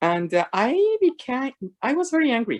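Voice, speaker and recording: Her pitch leaps and dips very widely. The woman keeps to a fairly slow pace. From Mexico. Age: 60s. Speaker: faith mentor. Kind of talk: testimony.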